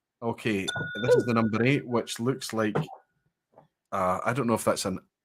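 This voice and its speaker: With a Scottish accent, a man speaks at a moderate pace and medium pitch, his intonation fairly even. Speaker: whisky streamer. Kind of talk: casual chat.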